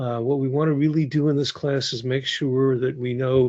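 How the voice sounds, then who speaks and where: Medium in pitch, a man speaks at a fairly quick pace. His intonation is fairly even, and the background is quiet. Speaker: instructor. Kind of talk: lecture. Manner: fast; hesitant fillers.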